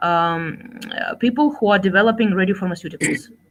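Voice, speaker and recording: A woman speaks with a Russian accent at a moderate pace. Her voice is somewhat breathy over a quiet background. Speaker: scientist and executive. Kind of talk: Q&A after a keynote lecture. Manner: halting, many fillers.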